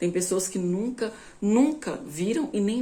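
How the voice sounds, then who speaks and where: Lively intonation and a dark, mellow tone from a woman, with audible room echo. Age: 20s. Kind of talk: informal bible teaching.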